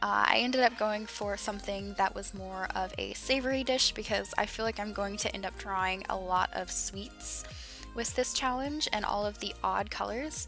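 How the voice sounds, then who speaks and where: Background music is playing. A woman speaks at a moderate pace. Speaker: digital artist. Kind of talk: casual art commentary over speedpaint.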